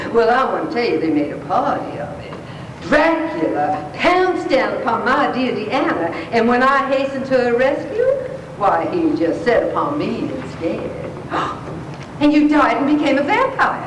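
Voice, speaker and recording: The voice moves at a fairly slow pace with very wide pitch swings, over noticeable background noise. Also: woman. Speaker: actress. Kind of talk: live story reading to an audience. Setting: live event hall.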